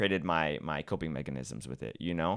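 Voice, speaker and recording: A man's fairly quick speech with vocal fry and a bright, sharp tone, ordinary pitch variation, in a very clean recording with a silent background. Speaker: social media content creator. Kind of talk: podcast interview. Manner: halting, with repetitions and pauses.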